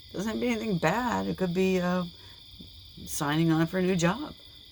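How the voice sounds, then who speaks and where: A woman's voice at medium pitch, with ordinary pitch variation. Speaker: tarot reader. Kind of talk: tarot reading. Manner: animated.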